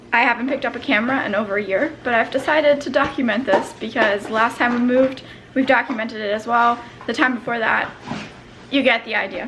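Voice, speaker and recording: Speech at a very fast pace with fairly even intonation comes through noticeable background noise. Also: woman, high pitch for a woman. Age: 20s. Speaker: vlogger. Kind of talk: casual talk to camera.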